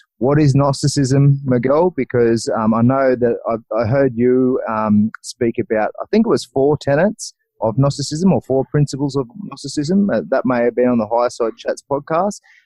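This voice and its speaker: A man talks with an Australian accent at a moderate pace with ordinary pitch variation. He leaves hardly any pauses. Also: medium pitch for a man, very even loudness. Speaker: podcast host. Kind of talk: interview. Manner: halting.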